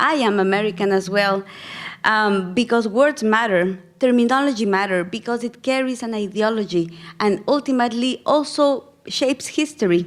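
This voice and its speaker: The woman talks at a moderate pace, her fairly high voice showing ordinary pitch variation. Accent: Spanish. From Ecuador. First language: Spanish. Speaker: missiologist and plenary speaker. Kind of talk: conference lecture with storytelling.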